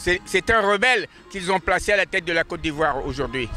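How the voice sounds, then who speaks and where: A man projects a raised voice at a high pitch, at a moderate pace with ordinary pitch variation. The sound is dry and close, with no echo. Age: 80s+. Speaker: pan-African activist. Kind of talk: street interview. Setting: outdoors in front of the court. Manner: halting, many repetitions.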